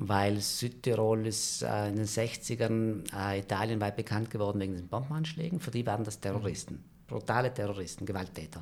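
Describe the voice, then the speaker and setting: Delivered at a moderate pace with hardly any pauses and ordinary pitch variation, the speech comes through on a very clean recording with a silent background. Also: man, fairly low pitch for a man. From South Tyrol, valley near Merano. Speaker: screenwriter. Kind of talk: storytelling in casual chat. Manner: hesitant, many fillers.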